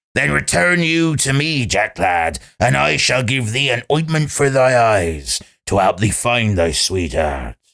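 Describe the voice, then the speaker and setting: A man does a put-on character voice, raspy and at a medium pitch. He speaks at a fairly slow pace. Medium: read story.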